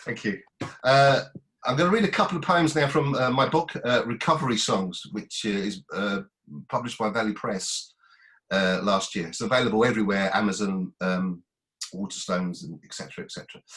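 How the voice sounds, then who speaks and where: Lively intonation at a fairly quick pace from a man with a medium-pitched voice. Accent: Essex. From Basildon, Essex, England. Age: 50s. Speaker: poet. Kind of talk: reading aloud. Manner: halting.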